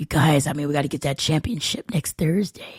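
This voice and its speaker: A raspy, put-on character voice moves at a fairly quick pace with ordinary pitch variation, dry and close with no echo. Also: woman. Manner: gruff, commanding.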